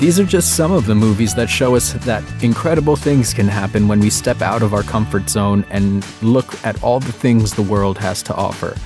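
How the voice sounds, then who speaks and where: Music plays behind a man speaking at a moderate pace and a fairly low pitch. His tone is upbeat and his intonation lively. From Latin America. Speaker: voice actor. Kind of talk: casual talk to camera. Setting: home studio.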